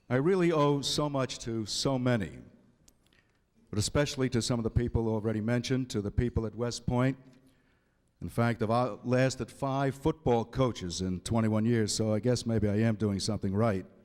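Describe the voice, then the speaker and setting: A man with an American accent speaks at a moderate pace and medium pitch in an ordinary speaking voice. The recording is very clean, with a silent background. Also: ordinary pitch variation. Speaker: public address announcer. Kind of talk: acceptance speech.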